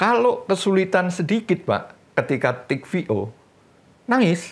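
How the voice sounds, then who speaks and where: A man's high-pitched voice with lively intonation, a very slow pace and very even loudness. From Indonesia. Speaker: veteran voice actor. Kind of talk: casual chat. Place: cafe. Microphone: lapel.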